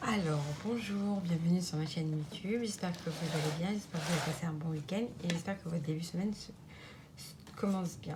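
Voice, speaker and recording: A woman's fairly low-pitched voice at a fairly quick pace, with ordinary pitch variation, audible room echo and noticeable background noise. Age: 30s. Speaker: budgeting vlogger. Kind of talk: casual vlog tutorial. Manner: halting, many fillers.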